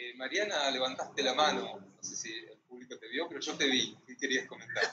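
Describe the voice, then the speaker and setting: A man with a Rioplatense accent at a fairly quick pace. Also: big swings in loudness. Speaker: moderator, translator. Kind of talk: panel discussion. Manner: halting.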